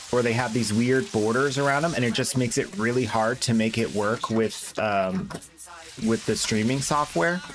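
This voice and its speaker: Background noise is clearly audible. The speech moves at a medium speed. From Canada. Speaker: game streamer. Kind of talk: live stream chat. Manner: casual thinking aloud.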